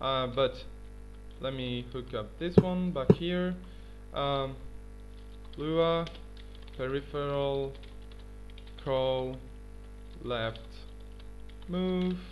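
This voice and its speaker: A man is speaking. Music plays in the background. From Tunisia. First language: not English (third language). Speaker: gaming YouTuber. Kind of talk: tutorial. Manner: halting, many fillers.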